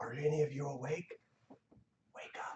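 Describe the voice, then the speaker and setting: In a put-on character voice, a man talks with a raspy, fairly high pitch. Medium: actual play. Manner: hushed, careful.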